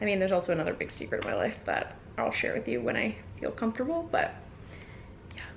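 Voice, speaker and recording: Through noticeable background noise, a woman speaks at a very fast pace broken by long, frequent pauses. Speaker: lifestyle vlogger. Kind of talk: casual vlog talk to camera.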